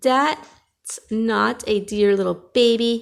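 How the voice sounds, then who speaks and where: A woman speaks in a put-on character voice. Her pitch sits fairly high. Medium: read story.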